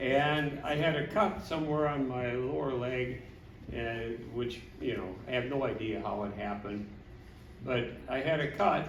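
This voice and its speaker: Amid noticeable background noise and audible room echo, a man with an Upper Midwest accent speaks at a fairly slow pace in a medium pitch with ordinary pitch variation. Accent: Upper Midwest (Minnesota). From Minnesota. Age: 70s. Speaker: family member giving a speech. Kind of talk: anniversary party speech.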